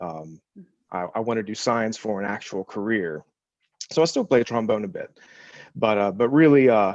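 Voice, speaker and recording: A man with an American accent speaks at a moderate pace and a medium pitch. The background is quiet. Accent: slight Appalachian, mostly suppressed. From US South, West Virginia. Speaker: postdoctoral biochemist. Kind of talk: panel discussion.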